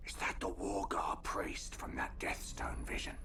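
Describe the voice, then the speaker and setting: Whispering in a put-on character voice, a man speaks at a moderate pace over loud background noise. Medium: video game. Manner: measured, wry.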